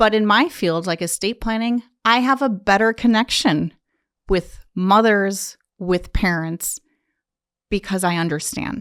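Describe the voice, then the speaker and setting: A woman of medium pitch talks in a plain, everyday voice at a fairly slow pace with ordinary pitch variation, the sound dry and close with no echo. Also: very clean recording, silent background. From US, Polish immigrant household. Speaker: estate planning attorney. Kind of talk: interview.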